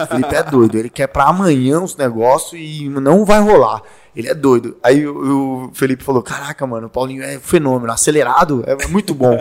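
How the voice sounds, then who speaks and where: A man talks at a fairly quick pace with hardly any pauses, in a normal speaking voice. His pitch is fairly high, with ordinary variation. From Brazil, Fortaleza (Ceará). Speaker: former pro fighter and personal trainer. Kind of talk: casual chat.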